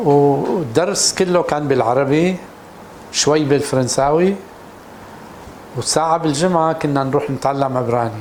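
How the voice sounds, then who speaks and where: Against noticeable background noise and audible room echo, a man talks at a very slow pace with ordinary pitch variation. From Syria, Damascus. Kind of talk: personal testimony interview. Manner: halting, with repeated false starts.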